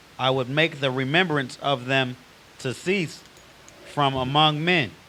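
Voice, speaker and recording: Against noticeable background noise, a man with a fairly high pitch speaks at a fairly slow pace with fairly even intonation. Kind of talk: reading scripture aloud in a class.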